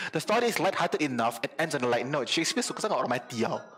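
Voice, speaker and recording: A man talks with very wide pitch swings. Noticeable background noise runs underneath. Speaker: youtuber. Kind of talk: casual explainer vlog. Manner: fast; code-switching Malay and English.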